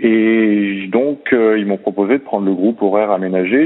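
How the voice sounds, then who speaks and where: Over music in the background, a man talks at a fairly slow pace with a fairly low pitch. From southern France, Montpellier. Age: 30s. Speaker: swimming coach. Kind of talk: interview.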